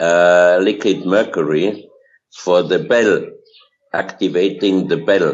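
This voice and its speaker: With a non-native accent, a man talks fairly slowly in a very deep, low pitch, his fairly even intonation broken by long, frequent pauses. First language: German. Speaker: researcher of hidden history. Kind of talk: interview. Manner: halting, many fillers.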